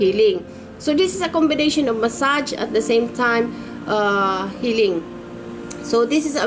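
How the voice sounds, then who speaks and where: Faint music plays in the background while a woman speaks at a fairly slow pace with ordinary pitch variation. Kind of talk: casual promotional talk. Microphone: webcam.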